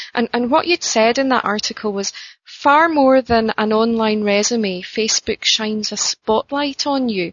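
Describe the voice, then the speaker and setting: A woman's fairly high voice with a Scottish accent at a moderate pace, with hardly any pauses. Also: ordinary pitch variation. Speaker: interviewer. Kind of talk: interview. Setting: phone call. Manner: hesitant, filler-heavy.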